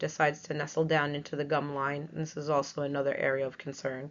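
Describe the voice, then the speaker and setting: A woman talks with a New York accent. Her pitch is very deep and low, and her intonation is monotone and flat. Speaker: veterinary technician. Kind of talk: webinar lecture.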